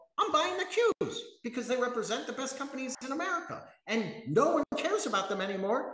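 A fairly quick pace with audible room echo. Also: man, extremely high pitch for a man. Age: 50s. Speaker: professional trader; guest. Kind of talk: casual interview. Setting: live video stream. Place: office. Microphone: webcam.

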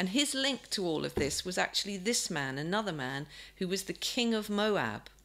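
A woman's voice with vocal fry at a moderate pace. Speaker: speaker. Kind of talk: sermon-style Bible talk. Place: home room. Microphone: webcam.

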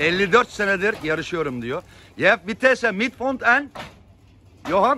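Speaking in a raised, projected voice, a man sounds animated, his high pitch swinging very widely and his tone bright and sharp, moving at a fairly slow pace with long, frequent pauses over light background noise. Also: dry sound with no echo. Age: 50s. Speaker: pigeon fancier vlogger. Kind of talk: casual vlog narration. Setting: outdoors on a rooftop loft. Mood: enthusiastic. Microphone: phone near.

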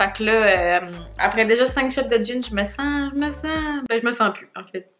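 Music plays behind a woman speaking in a Quebec accent at a fairly slow pace. Her fairly high voice has ordinary pitch variation and big swings in loudness. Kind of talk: casual talk to camera.

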